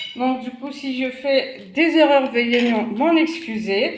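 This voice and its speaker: The voice shows ordinary pitch variation, heard through noticeable background noise and audible room echo. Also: woman. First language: not French (speaking French). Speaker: cooking channel host. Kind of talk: cooking tutorial. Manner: hesitant, many fillers.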